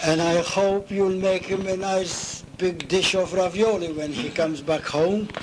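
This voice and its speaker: Noticeable background noise sits behind a man with a high pitch who talks at a fairly slow pace, with hardly any pauses and fairly even intonation. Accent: Maltese. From Malta. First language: Maltese. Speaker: retired navy cook. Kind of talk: oral history interview. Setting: at home.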